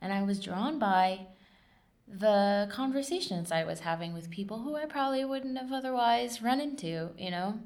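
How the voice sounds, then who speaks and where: Amid audible room echo, a woman at medium pitch with an American accent speaks with very wide pitch swings. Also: moderate pace. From southern and central California. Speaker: oral history interviewee, nonprofit worker. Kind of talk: oral history interview. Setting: recording in a library lab. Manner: hesitant, many filler words.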